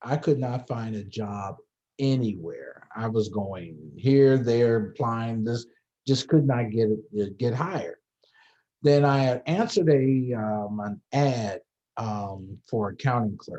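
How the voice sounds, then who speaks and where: A man with a dark, mellow tone at a medium pitch, at a very slow pace. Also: ordinary pitch variation. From Los Angeles area, California. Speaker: fraternity alumnus, former chapter leader. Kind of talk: interview, personal storytelling. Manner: casual, frequent fillers and repetitions.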